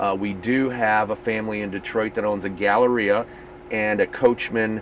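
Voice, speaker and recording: With noticeable background noise behind him, a man speaks at a moderate pace, his fairly low voice monotone and flat. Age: 50s. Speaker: RV company division manager. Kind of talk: casual interview. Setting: owners rally event.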